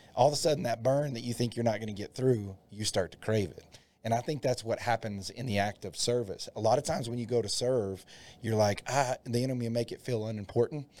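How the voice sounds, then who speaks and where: A man's medium-pitched, dark, mellow voice at a fairly quick pace, with fairly even intonation and big swings in loudness. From Texas Panhandle (Dalhart). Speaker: associate pastor. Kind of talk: casual chat.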